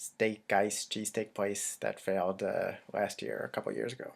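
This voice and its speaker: A man talks quietly at a moderate pace on a very clean recording with a silent background. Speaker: local news blogger and video host. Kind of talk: casual news roundup. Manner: speaking quietly.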